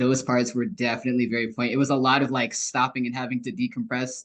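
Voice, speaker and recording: With a plain, everyday voice, a man talks at a fairly quick pace at medium pitch, his intonation fairly even. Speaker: book club member. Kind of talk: casual chat. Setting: video call.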